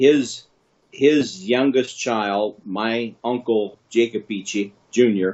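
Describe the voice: Slow pace from a man with a fairly low pitch, a slightly mellow tone and ordinary pitch variation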